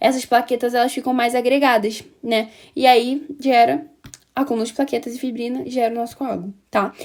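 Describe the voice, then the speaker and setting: A woman speaks in a high-pitched voice. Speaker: pharmacology student or teacher. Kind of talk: lecture. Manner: halting, many fillers and restarts.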